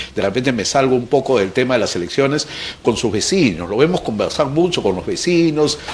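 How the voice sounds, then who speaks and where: A man talks fairly quickly at a medium pitch. His intonation is lively, with noticeable background noise behind him. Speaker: news show host. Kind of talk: interview.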